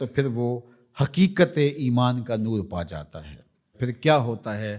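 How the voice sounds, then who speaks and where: This man's voice rests at a medium pitch, with very wide pitch swings and big swings in loudness. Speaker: Islamic preacher. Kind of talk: religious sermon.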